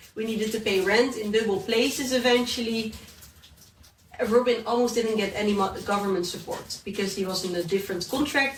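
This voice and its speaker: Heard with audible room echo and noticeable background noise, a woman with a Dutch accent talks at a fairly quick pace and fairly high pitch with ordinary pitch variation. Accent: Dutch accent, lasting. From Netherlands. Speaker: entrepreneur and YouTuber. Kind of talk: podcast interview.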